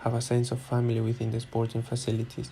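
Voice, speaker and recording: A man's somewhat breathy, dark, mellow voice at medium pitch, with a non-native accent. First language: not English. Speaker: student and football coach. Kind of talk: academic presentation.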